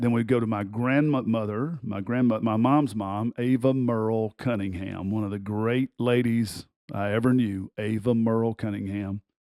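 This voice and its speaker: A man talks with a strong Southern US accent at medium pitch and a moderate pace. His tone is dark and mellow, his intonation fairly even, with hardly any pauses. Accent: thick Southern US. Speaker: basketball coach and podcast host. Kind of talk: casual personal storytelling. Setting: studio recording.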